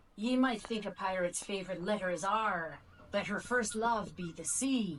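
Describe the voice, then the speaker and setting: In a put-on character voice, a female-sounding speaker talks at a moderate pace and medium pitch. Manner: playful, gruff pirate talk.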